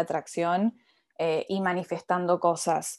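In front of a quiet background, a woman speaks with monotone, flat intonation. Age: 20s. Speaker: spiritual coach. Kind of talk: casual interview.

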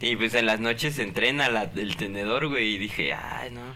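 Amid audible room echo and noticeable background noise, a man speaks at a medium pitch and a moderate pace. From Guadalajara, Jalisco, Mexico. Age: 20s. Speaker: podcast co-host. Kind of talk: casual chat.

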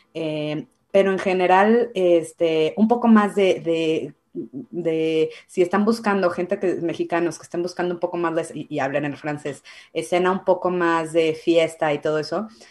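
A woman speaks in an ordinary speaking voice with a fairly low pitch. Her pitch variation is ordinary and her pace moderate. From Mexico, Guadalajara. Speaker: Mexican immigrant in Canada. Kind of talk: casual chat.

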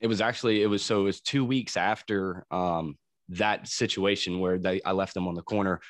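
A man talks at a fairly quick pace in a plain, everyday voice, pitched fairly low. His intonation stays fairly even against a quiet background. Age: 30s. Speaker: crane operator in recovery. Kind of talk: casual interview, personal testimony.

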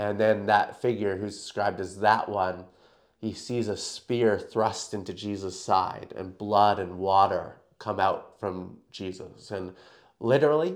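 A man with a Canadian accent speaks in a normal speaking voice, at a fairly slow pace with fairly even intonation. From Canada. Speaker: New Testament lecturer. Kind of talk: interview conversation.

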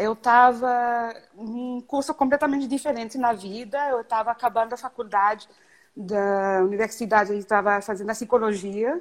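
Her voice is an unremarkable speaking voice, a woman at fairly high pitch with fairly even intonation and a moderate pace. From Canada. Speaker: event planning professional. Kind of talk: live stream interview. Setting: video live stream.

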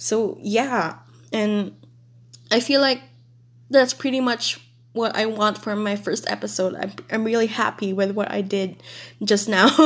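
In a very clean recording with a silent background, a woman speaks at a fairly slow pace and fairly high pitch, with fairly even intonation and long, frequent pauses. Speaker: podcast host. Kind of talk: casual solo monologue. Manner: halting.

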